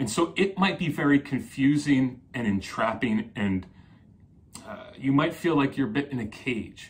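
The man speaks fairly slowly at a fairly high pitch, with very wide pitch swings. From New Jersey. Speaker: psychotherapist; coach explaining personality types. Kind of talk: solo video talk. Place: home room.

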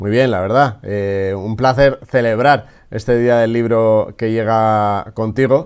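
Against a quiet background, the speech moves at a very slow pace with fairly even intonation. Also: man. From Spain. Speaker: podcast host. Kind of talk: interview. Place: office. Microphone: webcam.

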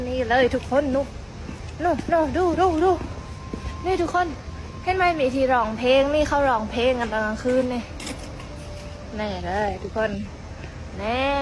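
Her pitch is high, even for a woman. Noticeable background noise can be heard throughout. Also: lively intonation. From Surat Thani, Southern Thailand. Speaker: taekwondo athlete. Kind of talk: casual tour guide talk to camera. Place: street. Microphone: earbuds.

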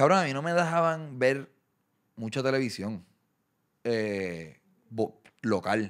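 Speaking very slowly with long, frequent pauses, a man swings his pitch very widely against a quiet background. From Puerto Rico. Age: 30s. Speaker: content creator and boxing event promoter; content creator. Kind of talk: casual interview chat. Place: studio. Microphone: studio mic.

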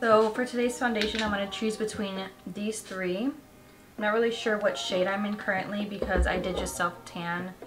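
Background noise is noticeable here. The woman's intonation stays fairly even. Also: moderate pace. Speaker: beauty vlogger. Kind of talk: casual vlog chat. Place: home room.

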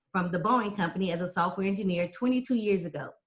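Somewhat breathy, a woman talks with an American accent. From Texas. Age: 40s. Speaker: political candidate. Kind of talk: debate forum.

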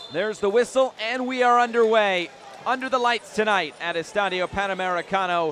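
Speaking at a fairly quick pace, a man with a high pitch and ordinary pitch variation is heard against noticeable background noise. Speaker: match commentator. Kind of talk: live sports commentary, play-by-play. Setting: stadium, commentating at the match.

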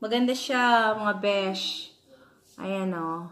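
Lively intonation marks this woman's voice. She speaks at a very slow pace. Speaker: thrift haul vlogger. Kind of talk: casual vlog chat. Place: home room. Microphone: phone near.

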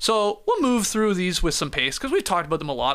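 A man speaks in a raised, projected voice with a bright, sharp tone. The background is quiet. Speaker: sports podcast host. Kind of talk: casual chat. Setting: studio. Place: studio. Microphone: studio mic.

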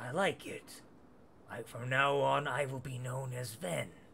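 A man puts on a character voice at a medium pitch and fairly slow pace. Background noise is clear. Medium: actual play. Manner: slow, measured, curious.

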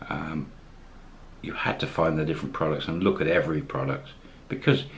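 With vocal fry in his very deep, low voice, a man speaks at a moderate pace against light background noise. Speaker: expat vlogger. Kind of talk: casual vlog chat. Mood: warm, upbeat.

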